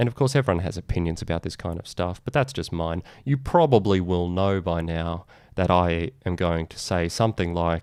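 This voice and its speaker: A man's very deep, low voice with an Australian accent, moderate pace, ordinary pitch variation, and a quiet background. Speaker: digital marketing podcast host. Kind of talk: solo video podcast monologue.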